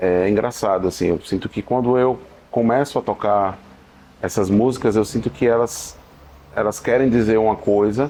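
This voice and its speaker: A dark, mellow tone comes at a moderate pace with ordinary pitch variation. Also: man. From Sergipe, Brazil. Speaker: singer-songwriter. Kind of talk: interview answer. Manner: relaxed, hesitant.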